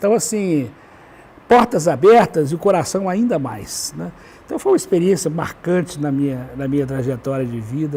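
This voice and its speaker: Over noticeable background noise, a man talks at a moderate pace. His pitch swings very widely. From Brazil, Belo Horizonte (Minas Gerais). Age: 70s. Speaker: educator and writer. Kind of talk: talk show interview. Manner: halting, with frequent repetitions.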